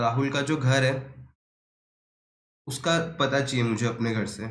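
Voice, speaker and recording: With audible room echo around him, a man speaks in a somewhat breathy voice at medium pitch. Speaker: teacher. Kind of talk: lecture. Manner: casual, conversational.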